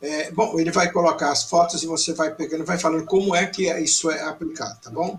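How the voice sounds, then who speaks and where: Noticeable background noise surrounds a man talking at a fairly quick pace and fairly high pitch. His pitch varies in an ordinary way, while his loudness swings widely. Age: 70s. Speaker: TV program host. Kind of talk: interview.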